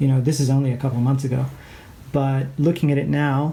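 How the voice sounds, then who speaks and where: Speaking with a slight Canadian accent, a man has a fairly high pitch. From England and Canada. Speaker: art teacher. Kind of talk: tutorial. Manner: hesitant, many fillers.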